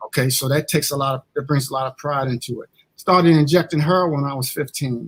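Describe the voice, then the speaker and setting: Recorded dry and close with no echo, a man with an American accent speaks very fast at a fairly high pitch, somewhat breathy, with fairly even intonation and big swings in loudness. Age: 60s. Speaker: associate minister. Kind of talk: testimony. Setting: church.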